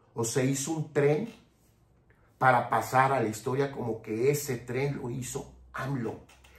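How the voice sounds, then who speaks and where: At a very slow pace, the somewhat breathy voice keeps a fairly even intonation. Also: man. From Mexico. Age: 60s. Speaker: political commentator. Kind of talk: political commentary monologue. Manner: impassioned.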